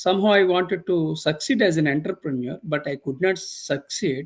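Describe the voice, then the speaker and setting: With a high pitch and ordinary pitch variation, a man is talking. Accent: Indian. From India. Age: 60s. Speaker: professor. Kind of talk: interview. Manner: slow; halting.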